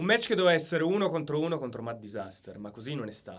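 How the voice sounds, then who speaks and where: In an angry tone, a man speaks at a fairly quick pace with lively intonation. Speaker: professional wrestler. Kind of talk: wrestling promo challenge to a rival. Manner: angry, confrontational, assertive.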